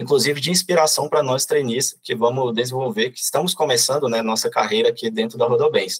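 The sound is close and dry, without any echo. A man delivers his words fairly quickly. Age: 20s. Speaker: corporate trainee. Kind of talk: podcast interview.

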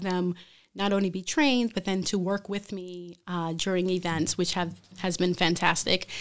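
A woman with an American accent and an unremarkable speaking voice talks at a moderate pace and medium pitch, her intonation fairly even, on a very clean recording with a silent background. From Brooklyn, New York. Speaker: chef. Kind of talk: interview. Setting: studio.

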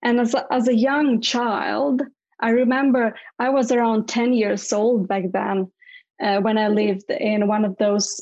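Speaking at a fairly slow pace in a Latvian accent, a woman has a fairly high pitch, fairly even intonation and very even loudness against a quiet background. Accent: Latvian (Eastern European) accent in English. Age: 30s. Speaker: public speaker, writer and business coach. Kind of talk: interview, personal life story. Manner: halting, with frequent repetitions.

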